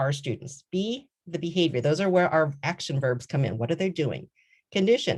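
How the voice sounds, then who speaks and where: A woman speaks in a fairly low pitch. Her pitch swings very widely. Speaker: law professor. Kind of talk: conference presentation. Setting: virtual conference, video call.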